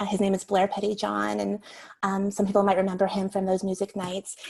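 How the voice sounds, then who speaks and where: Noticeable background noise sits behind this woman's American accent. Her medium-pitched voice keeps fairly even intonation. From US Northeast, Long Island, New York. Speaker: novelist. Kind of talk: interview conversation.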